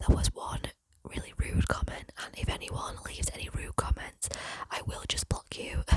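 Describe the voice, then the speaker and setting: A whispering woman at a moderate pace, with big swings in loudness. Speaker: ASMR youtuber. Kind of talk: ASMR whispered storytelling. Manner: soft-spoken.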